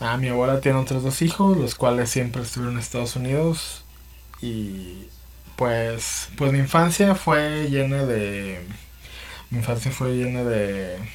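In a room with audible echo, a man with a Mexican accent speaks fairly slowly at a medium pitch with ordinary pitch variation. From Mexico. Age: 30s. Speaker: podcaster. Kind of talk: personal monologue. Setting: home. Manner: halting, many repetitions and fillers; casual.

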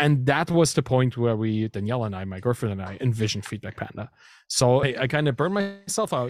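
Talking at a very fast pace, a man with a German accent uses a medium pitch and lively intonation. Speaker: startup founder and software engineer. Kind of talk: casual interview chat.

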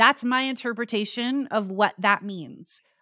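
A woman speaks in an American accent with lively intonation. The recording is very clean, with a silent background. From Arizona, US. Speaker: podcast producer and host. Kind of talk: casual interview chat.

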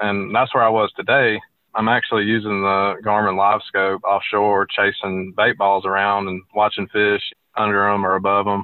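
A man talks with a Southern US accent at a moderate pace. His pitch is fairly low and his intonation is flat and monotone. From Alabama. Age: 20s. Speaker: fishing guide. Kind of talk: interview.

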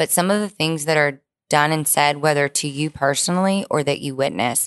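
Against a quiet background, the dry, close sound with no echo carries speech at a fairly quick pace with ordinary pitch variation. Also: woman. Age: 30s. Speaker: exonerated former prisoner, student. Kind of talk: interview. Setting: studio.

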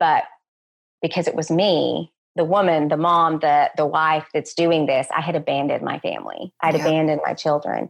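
A woman with a Texan accent at a moderate pace. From West Texas. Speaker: education professor. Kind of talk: interview.

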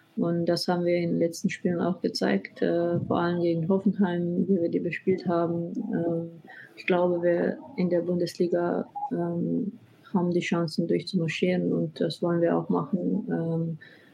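Over noticeable background noise, a woman with a Slovenian accent speaks at a moderate pace, fairly low in pitch and with fairly even intonation. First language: Slovenian (speaking German). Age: 20s. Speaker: professional footballer. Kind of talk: interview. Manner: halting.

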